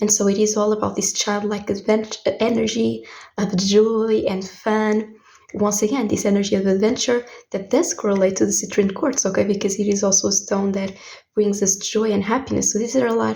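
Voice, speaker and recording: In a Portuguese accent, a woman speaks at a fairly quick pace, somewhat breathy, with fairly even intonation. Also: medium pitch for a woman. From Portugal. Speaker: tarot reader. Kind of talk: tarot reading.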